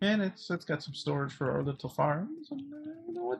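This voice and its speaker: Quiet and somewhat breathy, a man speaks at a fairly quick pace. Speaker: gaming streamer. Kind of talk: casual live stream commentary. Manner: hesitant, many fillers.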